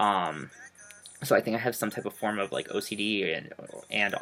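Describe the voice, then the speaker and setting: Music plays in the background. Over it, a man talks with fairly even intonation. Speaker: vlogger. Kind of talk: casual vlog. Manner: hesitant, many fillers.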